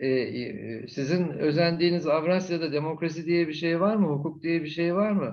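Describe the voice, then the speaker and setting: A man's high-pitched voice at a moderate pace, with ordinary pitch variation, very even loudness and hardly any pauses. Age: 70s. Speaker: retired ambassador, diplomat. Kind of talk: conference Q&A answer.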